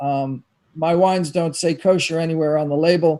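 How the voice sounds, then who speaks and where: This man's voice has a dark, mellow tone and a high pitch. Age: 60s. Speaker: winemaker. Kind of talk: panel discussion. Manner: hesitant, many fillers.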